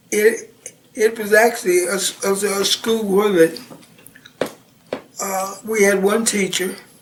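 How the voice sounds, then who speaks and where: Speaking at a very slow pace, a man uses a high pitch. He has an American accent, and there is noticeable background noise. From Missouri, US Midwest. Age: 70s. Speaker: retired Navy veteran. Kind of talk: oral history interview. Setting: at home. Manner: halting, many fillers and restarts.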